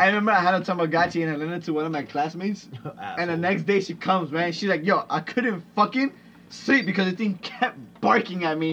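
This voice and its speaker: A high-pitched man talking at a very fast pace, with ordinary pitch variation and noticeable background noise. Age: 20s. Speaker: podcast host. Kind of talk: casual chat.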